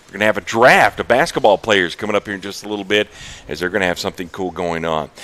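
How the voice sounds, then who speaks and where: A man speaks at a very fast pace with a fairly low pitch and ordinary pitch variation. Noticeable background noise runs underneath. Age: 40s. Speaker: university sports show host. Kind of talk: live interview show. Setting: stage on campus.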